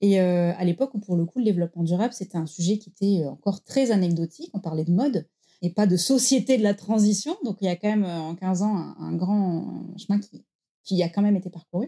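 Dark and mellow in tone, a woman talks at a fairly quick pace with ordinary pitch variation. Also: medium pitch for a woman. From France, Marseille. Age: 30s. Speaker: founder of a career-change training center. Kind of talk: interview.

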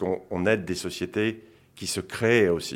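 At a fairly slow pace, a man speaks with a fairly low pitch in a very clean recording with a silent background. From France, childhood in Senegal. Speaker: investment fund co-founder. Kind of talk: interview. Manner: hesitant.

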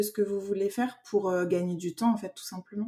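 Fairly even intonation marks this voice, whose tone is dark and mellow. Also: woman. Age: 30s. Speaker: graphic and packaging designer. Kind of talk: interview.

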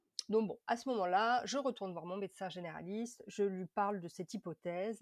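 This woman has an ordinary speaking voice at medium pitch. She speaks at a moderate pace with ordinary pitch variation. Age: 30s. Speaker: patient advocate, former liver disease patient. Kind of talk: testimony.

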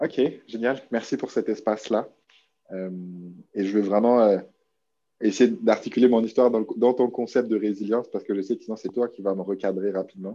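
A man's dark, mellow, medium-pitched voice at a moderate pace, with fairly even intonation and long, frequent pauses. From New Caledonia. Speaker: online business entrepreneur, marketing expert. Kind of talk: interview.

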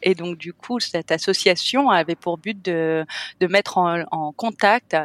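A woman talks at a very slow pace with a fairly low pitch. The recording is very clean with a silent background and a dry, close sound with no echo. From France, Cannes. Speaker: hotel owner. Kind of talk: interview.

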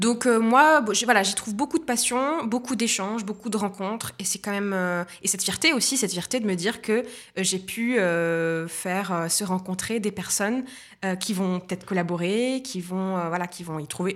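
A woman with a normal speaking voice talks at a moderate pace and medium pitch, with ordinary pitch variation, in a very clean recording with a silent background. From Tunisia. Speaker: entrepreneur. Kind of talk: interview.

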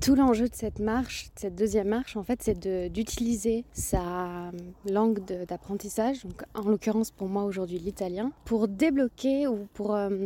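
With an unremarkable speaking voice, a woman talks at a moderate pace, her pitch fairly high and her pitch variation ordinary. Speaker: podcast host, language learning. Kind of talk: casual solo narration and interview. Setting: outdoors, walking.

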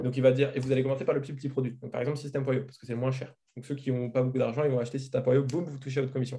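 Very fast and flat in intonation, a man's somewhat breathy voice holds a medium pitch and a dark, mellow tone. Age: 20s. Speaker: marketing agency owner. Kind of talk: interview.

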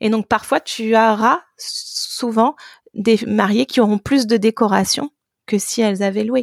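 Very slow and fairly high, a woman's voice holds very even loudness and fairly even intonation in a dry, close sound with no echo. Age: 30s. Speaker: app co-founder. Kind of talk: interview.

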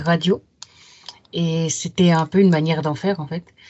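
A somewhat breathy woman's voice moves along at a moderate tempo. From Paris region, France. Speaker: writer and literary critic. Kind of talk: casual interview.

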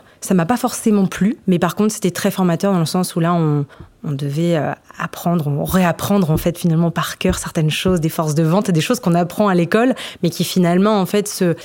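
A woman with a fairly low pitch talks at a moderate pace amid noticeable background noise. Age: 20s. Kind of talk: podcast testimony. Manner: hesitant, many fillers.

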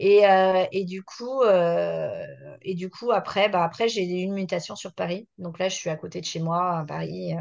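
A woman speaks at a fairly slow pace. Her loudness swings in big jumps. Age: 40s. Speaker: entrepreneur, concept store founder. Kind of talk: casual chat. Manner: halting, many hesitations.

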